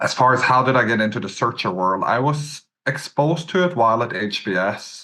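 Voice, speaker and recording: A man with a Norwegian accent, a bright, sharp tone, lively intonation and a fairly quick pace. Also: medium pitch for a man. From west coast of Norway. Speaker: business acquirer, entrepreneur. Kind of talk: podcast interview.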